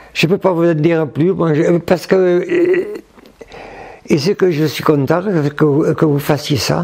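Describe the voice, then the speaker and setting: Over noticeable background noise, a man with a high pitch speaks at a very slow pace, his loudness very even and his intonation fairly even. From France, Hautes-Pyrénées. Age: 90s. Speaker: retired judo teacher. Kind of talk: interview. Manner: halting.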